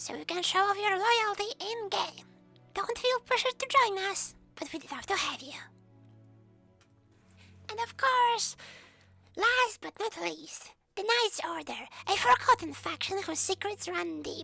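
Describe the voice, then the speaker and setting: Over music in the background, a woman with an extremely high pitch speaks at a fairly slow pace with lively intonation, big swings in loudness, and long, frequent pauses. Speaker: community news host. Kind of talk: gaming community news broadcast.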